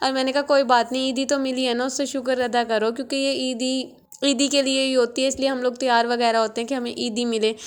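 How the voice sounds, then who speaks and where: Over noticeable background noise, a soft-spoken woman with a high pitch talks at a moderate pace in a monotone, flat intonation. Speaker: vlogger. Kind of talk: casual vlog narration. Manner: soft, low volume.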